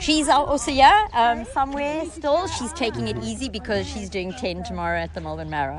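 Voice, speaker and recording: A woman with a slight South African accent over noticeable background noise. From South Africa, Cape Town. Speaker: parkrun participant. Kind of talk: casual interview.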